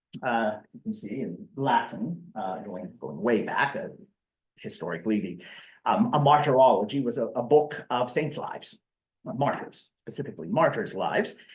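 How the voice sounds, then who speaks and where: With a western Pennsylvania accent, a man speaks with very wide pitch swings, big swings in loudness and vocal fry. Audible room echo surrounds the recording. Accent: American, western Pennsylvania. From western Pennsylvania (Mercer, near Pittsburgh). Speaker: history professor. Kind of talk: lecture. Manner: hesitant, many fillers and repetitions.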